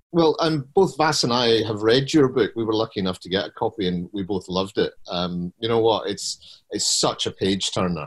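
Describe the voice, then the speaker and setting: With hardly any pauses, a man speaks in a plain, everyday voice at a medium pitch and moderate pace, with lively intonation, in a very clean recording with a silent background. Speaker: podcast host. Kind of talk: panel hosting.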